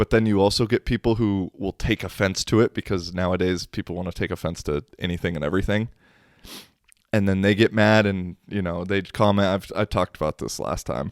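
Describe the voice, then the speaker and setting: A man with an unremarkable speaking voice talks at a fairly quick pace in a fairly low pitch with fairly even intonation, the sound dry and close with no echo. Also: very clean recording, silent background. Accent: American. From United States. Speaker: podcast host. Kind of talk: casual solo podcast monologue.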